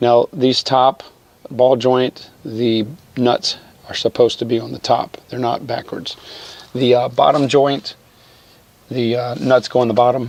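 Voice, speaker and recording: The speaker talks at a fairly slow pace with fairly even intonation and long, frequent pauses. Noticeable background noise is present. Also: man, medium pitch for a man. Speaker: car detailing and repair YouTuber. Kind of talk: tutorial. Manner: casual, halting with fillers.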